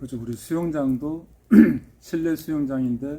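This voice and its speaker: A man speaks in a Gyeongsang accent. His pace is fairly slow. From Seoul, later Gyeonggi. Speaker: pool villa builder, channel host. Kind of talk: casual interview chat.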